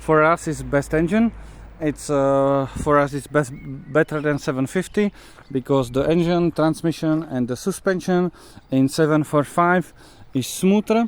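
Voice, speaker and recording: Speaking at a fairly slow pace in a Czech accent, a man uses a fairly high pitch with ordinary pitch variation. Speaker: car mechanic and enthusiast. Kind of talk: video walkthrough of a car. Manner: halting, many fillers.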